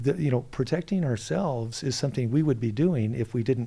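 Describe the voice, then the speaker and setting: Somewhat breathy and dark, mellow in tone, a man speaks at a medium pitch and a fairly quick pace with lively intonation. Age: 60s. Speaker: political candidate. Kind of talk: interview. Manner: halting.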